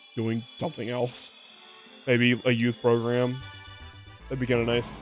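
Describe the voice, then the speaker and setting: A man talks at a medium pitch. Music can be heard in the background. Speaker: VTuber gaming streamer. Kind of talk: casual gaming livestream commentary.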